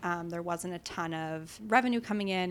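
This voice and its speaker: In a normal speaking voice with an American accent, a woman talks at a fairly low pitch and moderate pace with fairly even intonation, recorded very cleanly against a silent background. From New York City, Upper West Side. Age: 20s. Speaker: entrepreneur. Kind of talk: casual interview. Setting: home kitchen.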